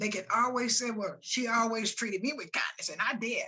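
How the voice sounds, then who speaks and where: A woman with an American accent talks at a moderate pace, her fairly high voice bright and sharp. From US South. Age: 80s+. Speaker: retired nurse and school integration pioneer. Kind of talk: interview. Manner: animated.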